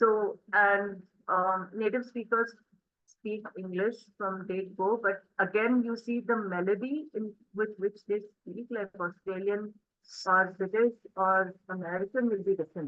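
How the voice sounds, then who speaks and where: Speaking in an Indian accent, a woman talks at a fairly slow pace and a medium pitch with fairly even intonation. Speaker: spoken English teacher. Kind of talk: interactive online class.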